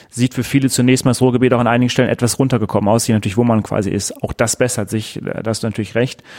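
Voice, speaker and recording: Talking at a very fast pace, a man holds a medium pitch in a monotone, flat intonation. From Ruhr area, Germany. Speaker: podcast host. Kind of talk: casual chat. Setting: office.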